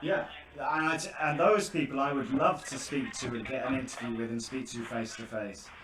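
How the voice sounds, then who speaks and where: Over noticeable background noise and audible room echo, a man with a British accent and a fairly high pitch speaks at a moderate pace with lively intonation. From Britain. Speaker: scam-baiter YouTuber. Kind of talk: phone conversation with scammer. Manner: halting, stammering.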